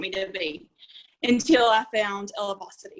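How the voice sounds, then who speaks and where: A woman with an Arkansas accent talks with ordinary pitch variation. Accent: Southern (Arkansas). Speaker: teacher and direct sales member. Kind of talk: testimony. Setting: video call.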